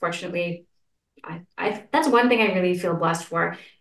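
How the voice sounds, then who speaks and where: Here a woman speaks with a Canadian accent. Her pitch is fairly low. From Canada, Saskatchewan. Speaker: entrepreneur and wellness guide. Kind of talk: interview, personal story. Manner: soft-spoken.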